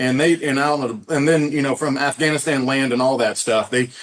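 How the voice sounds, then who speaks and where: Speaking in a Southern accent, a man keeps a fairly quick pace. His pitch is fairly high, with ordinary variation. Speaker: tour company founder. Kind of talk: podcast interview.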